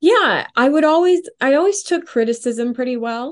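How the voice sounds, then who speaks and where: Against a quiet background, a woman with a Western Canadian accent speaks at a moderate pace. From Canada, Edmonton, Alberta. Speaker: film and music composer and singer. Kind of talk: interview conversation.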